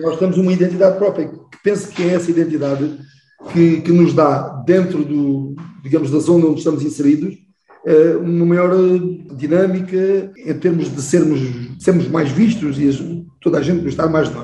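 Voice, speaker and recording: The recording has audible room echo. A man speaks in a fairly high voice. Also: fairly even intonation, moderate pace. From Portugal, Garvão (Baixo Alentejo). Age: 60s. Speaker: military officer and choir singer. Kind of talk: interview conversation.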